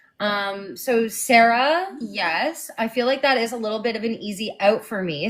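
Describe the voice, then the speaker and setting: At a fairly slow pace, a woman speaks in an animated tone. Her fairly high pitch has ordinary variation. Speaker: actor. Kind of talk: casual chat. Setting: live stream.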